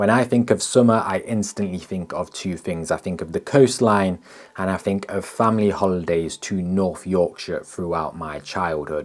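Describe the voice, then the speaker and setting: A man's very deep, low voice at a moderate pace, with ordinary pitch variation and hardly any pauses. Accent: English. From England. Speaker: landscape photographer, video creator. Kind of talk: vlog narration. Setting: outdoors on the coast.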